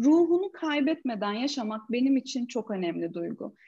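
A woman is speaking. Her pitch swings very widely. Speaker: coach and corporate trainer. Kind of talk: casual interview. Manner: animated.

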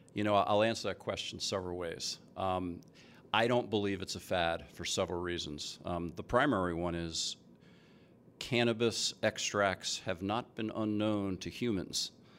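An ordinary speaking voice from a man with an American accent, fairly low in pitch, at a moderate pace with fairly even intonation, in a very clean recording with a silent background. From US East Coast, New Jersey. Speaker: chief science officer in cannabis food products. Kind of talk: casual interview before live audience. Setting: stage with audience.

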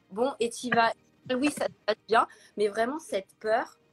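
At a moderate pace, an ordinary speaking voice with ordinary pitch variation comes through in a dry, close sound with no echo. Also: woman. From Paris, France. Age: 30s. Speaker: influencer and blogger. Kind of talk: interview, personal testimony. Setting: Instagram live video.

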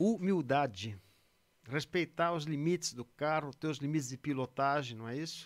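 In a very clean recording with a silent background, a man with a normal speaking voice talks at a moderate pace, his fairly high pitch showing ordinary variation. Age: 50s. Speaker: retired racing driver. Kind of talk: casual chat.

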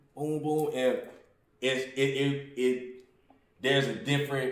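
Amid audible room echo, a man at a medium pitch speaks at a very slow pace with fairly even intonation and long, frequent pauses. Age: 30s. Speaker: podcast host. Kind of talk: casual chat.

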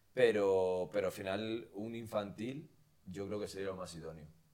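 A man speaks at a fairly low pitch with ordinary pitch variation in a normal speaking voice. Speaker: podcast host. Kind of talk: casual chat.

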